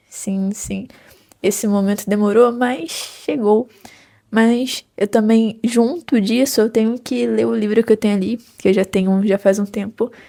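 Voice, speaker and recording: Speaking in a Rio de Janeiro accent, a woman uses a fairly high pitch, a dark, mellow tone and fairly even intonation at a fairly slow pace. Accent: carioca (Rio de Janeiro). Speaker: psychology student and book vlogger. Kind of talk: casual vlog chat.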